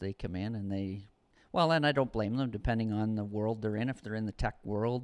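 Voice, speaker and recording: An unremarkable speaking voice from a man, fairly low in pitch with ordinary pitch variation, at a fairly quick pace. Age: 50s. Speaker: custom home builder, furniture business partner. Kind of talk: casual chat.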